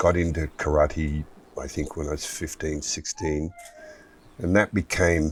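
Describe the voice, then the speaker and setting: A man's very deep, low voice with an Australian accent amid noticeable background noise. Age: 70s. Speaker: martial artist and actor. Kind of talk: interview.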